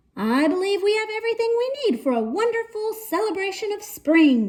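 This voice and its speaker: In a squeaky put-on character voice, a woman speaks at a moderate pace with an extremely high pitch. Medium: read story. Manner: theatrical, grand.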